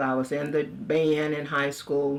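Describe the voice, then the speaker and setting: With an American accent, a woman talks at a moderate pace in a very deep, low pitch, her intonation monotone and flat. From Texas, Baytown. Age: 70s. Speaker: funeral home owner. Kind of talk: oral history interview.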